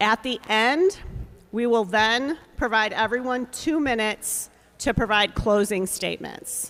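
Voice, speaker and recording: A fairly high-pitched woman's voice at a fairly slow pace, with ordinary pitch variation. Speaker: forum moderator. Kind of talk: moderating a public candidate forum. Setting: public forum with live audience, live streamed. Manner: loud.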